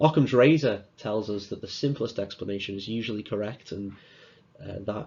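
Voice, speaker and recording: A man's fairly low voice in a Liverpool accent, fairly quick, with ordinary pitch variation. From northern England, Liverpool. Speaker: student speaker. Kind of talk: conference talk.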